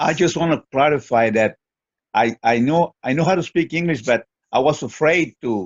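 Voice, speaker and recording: With a Mexican accent, a man speaks at a moderate pace in a fairly high pitch and lively intonation. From Mexico. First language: Spanish. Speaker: webinar participant. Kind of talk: group discussion. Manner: halting, many repetitions.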